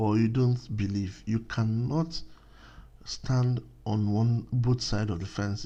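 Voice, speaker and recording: A man with a fairly low, dark, mellow voice that is somewhat breathy speaks at a moderate pace against a quiet background. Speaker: religious teacher, video blogger. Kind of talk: religious teaching monologue. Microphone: new microphone.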